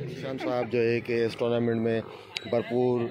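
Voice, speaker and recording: A man talks with fairly even intonation while noticeable noise fills the background. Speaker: vlogger and amateur cricketer. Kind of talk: casual vlog with on-the-spot interviews. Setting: outdoors at night cricket ground.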